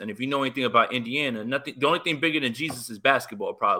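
On a very clean recording with a silent background, a man with an American accent speaks in a bright, sharp tone at a medium pitch with ordinary pitch variation. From North Jersey, Hoboken/Jersey City area. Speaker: sports fan podcaster. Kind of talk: casual chat.

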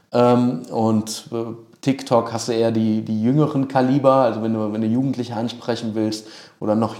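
A man's medium-pitched voice with a dark, mellow tone, monotone and flat intonation, and a moderate pace. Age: 30s. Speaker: video producer. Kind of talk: interview. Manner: frequent filler sounds and hesitations.

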